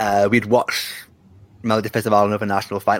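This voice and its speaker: A man with a northern English accent talks at a fairly quick pace. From northern England. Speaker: Eurovision journalist. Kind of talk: casual interview chat. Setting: video call.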